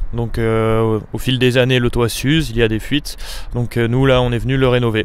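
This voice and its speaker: A man's medium-pitched, flat monotone at a moderate pace. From France, Savoie (Chambéry). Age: 20s. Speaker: apprentice roofer. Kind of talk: interview. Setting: outdoors on a Paris rooftop. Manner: hesitant, many fillers.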